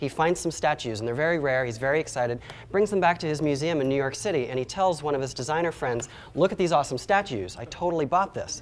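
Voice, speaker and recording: A man's fairly high pitch with ordinary pitch variation at a very fast pace. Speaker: product designer giving a conference talk. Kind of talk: conference talk.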